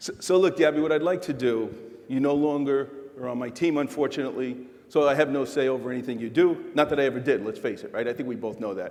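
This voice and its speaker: Audible room echo surrounds a man with a fairly high pitch who talks at a fairly quick pace with lively intonation. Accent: New York. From New York City. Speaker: corporate executive keynote speaker. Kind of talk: keynote on-stage chat. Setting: stage with audience. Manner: animated.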